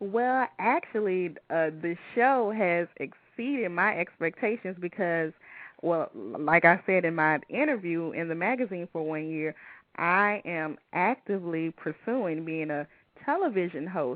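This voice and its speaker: A woman with an American accent, fairly low pitch, lively intonation and a fairly slow pace. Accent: Southern accent, noticeable despite fading. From US South, Louisiana (Baton Rouge). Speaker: radio show host. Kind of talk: casual interview chat. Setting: live internet radio show. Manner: toned down professional radio voice.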